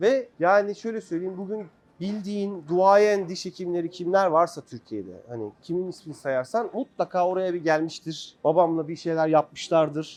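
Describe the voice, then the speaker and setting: At a moderate pace, a man talks in a high pitch with a dark, mellow tone. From Turkey, Ankara (early childhood in Germany). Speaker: dentist. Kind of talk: personal storytelling in a talk with students. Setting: meeting with dental students.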